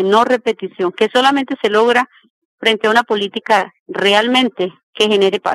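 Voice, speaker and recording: An unremarkable speaking voice, a woman's, sits at a fairly high pitch with fairly even intonation and a dry, close sound with no echo. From Colombia, Meta (Granada). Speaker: social activist. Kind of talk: interview testimony. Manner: formal.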